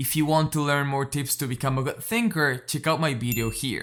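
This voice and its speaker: A man with a non-native accent talks at a fairly quick pace. His pitch is fairly high, and background noise is noticeable. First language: not English. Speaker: educational YouTuber. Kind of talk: scripted narration.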